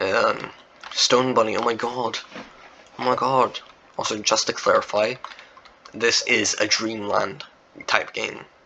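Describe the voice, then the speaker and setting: Long, frequent pauses amid noticeable background noise. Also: man. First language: not English. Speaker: Roblox game developer and YouTuber. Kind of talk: casual gameplay walkthrough chat. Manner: rambling, filler-heavy casual talk.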